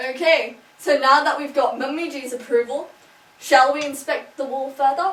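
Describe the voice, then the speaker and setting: A woman speaks in a high pitch at a moderate pace. Her loudness rises and falls sharply. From Australia (Sydney). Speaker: video blogger. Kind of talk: casual vlog. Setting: at home, lounge room. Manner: animated.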